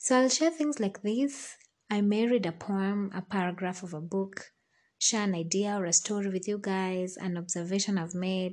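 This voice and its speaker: Speaking at a moderate pace against a quiet background, a woman has an ordinary speaking voice. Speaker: podcaster. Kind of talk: poetry reading. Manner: measured, reflective.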